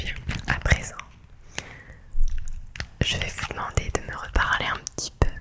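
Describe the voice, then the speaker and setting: Whispering in a calm tone, a woman speaks at a fairly slow pace with long, frequent pauses against noticeable background noise. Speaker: ASMR creator playing a psychologist. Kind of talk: ASMR role-play, therapy session. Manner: soft-spoken, calm, relaxing.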